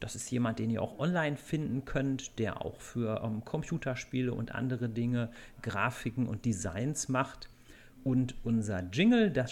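A plain, everyday voice from a man at a fairly slow pace, medium in pitch with ordinary pitch variation. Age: 30s. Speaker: podcast host and blogger. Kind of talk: casual chat.

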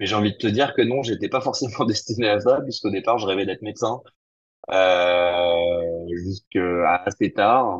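Fairly low in pitch, a man talks fairly slowly in a plain, everyday voice with ordinary pitch variation. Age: 40s. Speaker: entrepreneur. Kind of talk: interview.

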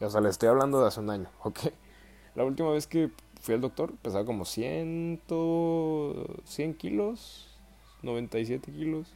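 The speaker has a Mexican accent and talks at a very slow pace. Pitch swings very widely while music plays in the background. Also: man, medium pitch for a man. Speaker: podcaster. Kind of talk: casual solo monologue. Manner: casual, slangy with fillers.

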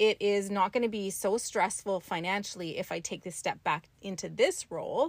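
With hardly any pauses, a woman keeps to a moderate pace. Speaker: spiritual teacher. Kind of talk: casual chat. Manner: soft-spoken.

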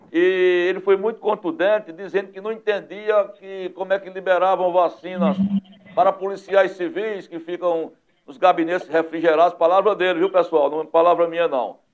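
Big swings in loudness at a moderate pace. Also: man, high pitch for a man. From Northeast Brazil, Pernambuco sertão. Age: 50s. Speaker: web TV news host. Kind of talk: talk show interview. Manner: animated.

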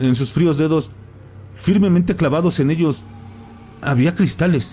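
With music playing in the background, a man speaks at a fairly slow pace in a dramatic tone, his fairly high voice swinging very widely in pitch. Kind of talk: ghost story telling, first-person horror narration. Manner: hushed, suspenseful, dramatic pacing with pauses; halting, breathless at the frightening peaks.

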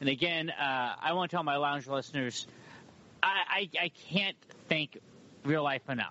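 A man with an American accent has a normal speaking voice, fairly high in pitch, with ordinary pitch variation at a moderate pace. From Humboldt County, California. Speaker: podcast and radio host. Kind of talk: casual interview chat.

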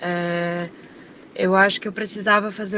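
Speaking in a medium pitch, a woman delivers her words with monotone, flat intonation. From Florianópolis, Santa Catarina, Brazil. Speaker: singer. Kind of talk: interview. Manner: hesitant, many fillers.

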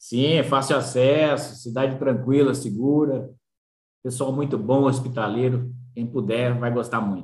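A man talks fairly slowly at a medium pitch, with fairly even intonation and a somewhat breathy quality. Audible room echo surrounds his voice. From São Paulo state interior, Brazil. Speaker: agronomist. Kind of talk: interview.

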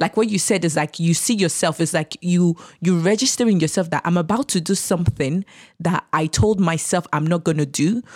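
A woman's ordinary speaking voice, fairly low in pitch with ordinary pitch variation, at a fairly quick pace, in a dry, close sound with no echo on a very clean recording with a silent background. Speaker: childcare specialist and guest. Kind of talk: casual interview chat.

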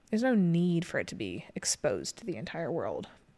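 At a moderate pace, a woman with a plain, everyday voice and fairly low pitch is heard on a very clean recording with a silent background. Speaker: podcast co-host. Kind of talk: casual chat.

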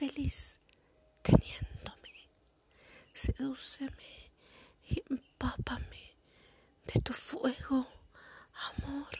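This woman whispers very slowly, pausing often and at length. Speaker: poet and podcast host. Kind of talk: spoken word poetry, sensual ASMR-style reading aloud. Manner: slow, soft, intimate and sensual delivery.

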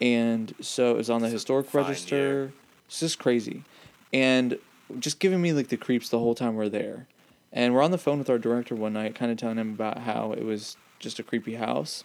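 A man talks at a fairly quick pace in a normal speaking voice, medium in pitch with ordinary pitch variation. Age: 20s. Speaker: podcast co-host. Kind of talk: casual chat.

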